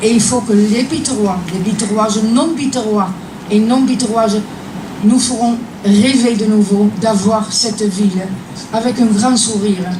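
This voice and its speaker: A woman speaks at a fairly slow pace in a fairly high pitch, with fairly even intonation and long, frequent pauses. Both noticeable background noise and audible room echo are present. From Netherlands. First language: Dutch (speaking French). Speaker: association member. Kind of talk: testimony.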